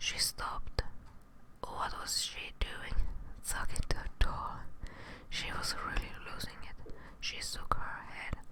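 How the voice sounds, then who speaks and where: Whispering over noticeable background noise, a woman speaks at a very slow pace with long, frequent pauses. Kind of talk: story narration. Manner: soft-spoken, calm, relaxing.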